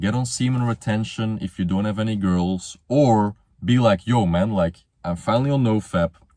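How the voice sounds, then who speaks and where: With a Flemish accent, a man speaks in a dark, mellow tone at a fairly low pitch with ordinary pitch variation, in a very clean recording with a silent background. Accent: Belgian (Flemish) accent in English. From Belgium. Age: 20s. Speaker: motivational youtuber. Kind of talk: casual monologue. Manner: casual, slangy.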